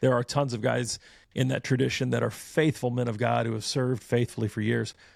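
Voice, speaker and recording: In a very clean recording with a silent background, a man with an American accent speaks in a plain, everyday voice at a medium pitch, with fairly even intonation. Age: 40s. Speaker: church elder and podcast host. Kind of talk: interview conversation.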